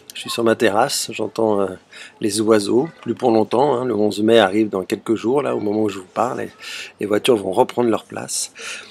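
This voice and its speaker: A man's intonation stays fairly even while noticeable background noise sits behind him. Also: big swings in loudness. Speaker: theatre director. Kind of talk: video self-presentation. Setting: outdoors on a terrace. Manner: fast.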